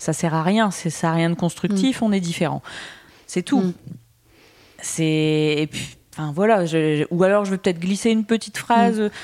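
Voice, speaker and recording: A woman at a fairly low pitch and a moderate pace, with ordinary pitch variation and long, frequent pauses. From northern France, Boulogne-sur-Mer. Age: 30s. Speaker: content creator. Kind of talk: interview conversation.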